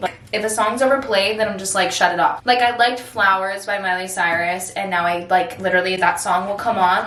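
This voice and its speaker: A woman talks at a fairly quick pace amid audible room echo and noticeable background noise. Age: 20s. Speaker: influencer and performer. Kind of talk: casual chat. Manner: animated; loud.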